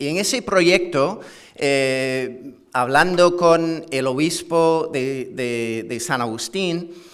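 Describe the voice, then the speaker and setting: A man at a very slow pace with ordinary pitch variation and audible room echo. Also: fairly high pitch for a man. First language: English (speaking Spanish). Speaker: history professor. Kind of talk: conference lecture. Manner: halting, with many fillers and repetitions.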